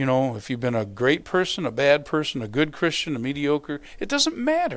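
The man's pace is moderate, and his background is quiet. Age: 60s. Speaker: pastor. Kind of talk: sermon. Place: church.

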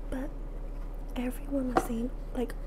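A woman talks at a moderate pace while noticeable noise carries on in the background. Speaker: ASMR creator. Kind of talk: ASMR eating video, soft-spoken talk to camera. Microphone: lapel.

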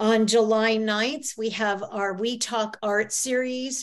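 With a quiet background, a woman speaks in fairly even intonation. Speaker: society president hosting meeting. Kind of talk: meeting announcements. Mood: friendly, welcoming. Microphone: video call.

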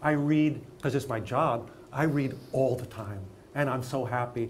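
Over light background noise, a man with an American accent speaks in a somewhat breathy voice. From Los Angeles, California. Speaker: acting teacher and director; acting teacher. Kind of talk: interview; interview answer. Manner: animated. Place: studio.

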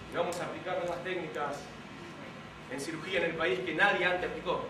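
A man talks fairly quickly in a high voice with fairly even intonation. Audible room echo and noticeable background noise surround him. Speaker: stage actor. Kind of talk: theatrical monologue. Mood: pleading, mildly exasperated. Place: stage. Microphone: camera far.

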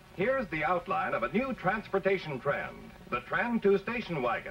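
There is music in the background. The speaking pace is moderate. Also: man. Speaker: advertising narrator. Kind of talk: commercial voice-over narration.

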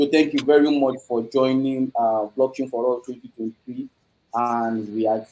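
A man speaks with a dark, mellow tone at a moderate pace. His intonation is monotone and flat. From Nigeria. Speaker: host of live online blockchain talk series. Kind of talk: live online event hosting. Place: office. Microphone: video call.

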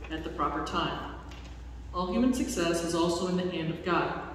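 Strong room echo and light background noise surround a woman talking at a fairly quick pace with fairly even intonation. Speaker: lay scripture reader. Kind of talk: liturgical scripture reading. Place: church. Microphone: podium.

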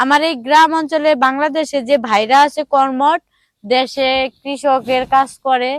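This woman's voice sits high, and her intonation stays fairly even. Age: 20s. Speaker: interviewee on street video. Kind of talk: casual interview.

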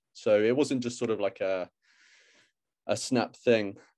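A man speaks with a British accent in a dark, mellow tone. Behind him, the background is quiet. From UK. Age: 20s. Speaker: YouTuber. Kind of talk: casual chat. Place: home room. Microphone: video call.

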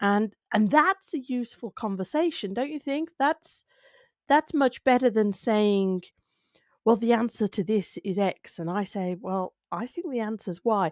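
Against a quiet background, the voice comes at a fairly slow pace with lively intonation and a dry sound with no echo. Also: woman, fairly high pitch for a woman. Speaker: speaking skills video creator. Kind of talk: solo talk to camera. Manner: conversational, reflective. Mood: thoughtful, calm. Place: home room. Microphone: studio mic.

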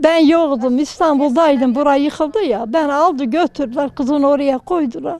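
Against a quiet background, a woman speaks at a moderate pace in a high voice. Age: 80s+. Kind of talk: interview answer.

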